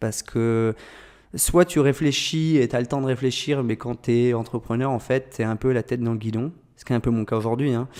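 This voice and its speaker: This man's voice sits at a medium pitch, with fairly even intonation. He talks at a moderate pace. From France, Orléans area. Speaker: agency founder, entrepreneur. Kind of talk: podcast interview. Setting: agency office. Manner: hesitant with many fillers.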